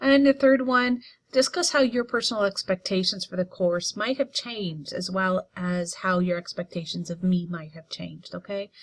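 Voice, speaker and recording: A woman speaks at a moderate pace with lively intonation and a somewhat breathy voice. Her loudness swings widely, and the sound is dry and close with no echo. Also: medium pitch for a woman. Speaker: college writing instructor. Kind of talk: tutorial.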